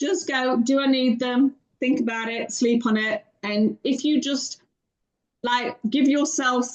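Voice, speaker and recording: A woman with a British accent speaks in a high pitch. Her pace is fairly slow and her intonation fairly even. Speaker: financial coach. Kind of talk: podcast interview answer. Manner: witty, warm.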